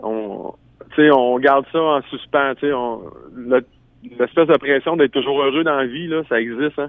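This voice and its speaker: A man at a fairly high pitch and moderate pace, with a Quebec accent and fairly even intonation. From Quebec, Bas-Saint-Laurent. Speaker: singer-songwriter. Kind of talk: radio interview.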